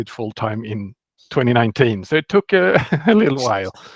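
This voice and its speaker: A man speaks at a medium pitch with a Swedish accent. The sound is dry and close, with no echo. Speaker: software developer. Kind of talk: interview.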